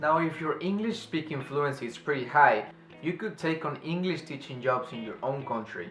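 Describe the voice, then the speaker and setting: A man with a non-native accent and lively intonation at a moderate pace, with music in the background. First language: non-native English speaker. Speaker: English teacher in Japan. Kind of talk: casual advice talk to camera.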